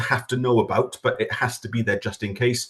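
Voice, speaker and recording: A somewhat breathy male voice, medium in pitch, at a fairly quick pace. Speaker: government official presenting farming scheme. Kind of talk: webinar presentation. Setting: online webinar. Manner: fast.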